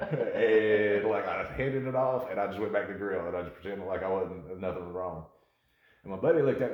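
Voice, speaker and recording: With a North Carolina accent and a fairly low pitch, a man talks at a very fast pace amid audible room echo. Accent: Southern US (North Carolina). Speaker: bartender podcast co-host. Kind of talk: casual chat. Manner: animated.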